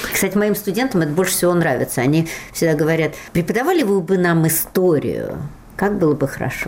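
A woman's fairly low voice at a fairly quick pace, with very even loudness, ordinary pitch variation and noticeable background noise. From Russia, Moscow. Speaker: literature professor and translator. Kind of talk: interview.

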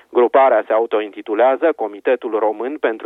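A man speaking at a moderate pace. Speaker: radio correspondent. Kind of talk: reading aloud a letter of intellectuals. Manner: solemn, serious.

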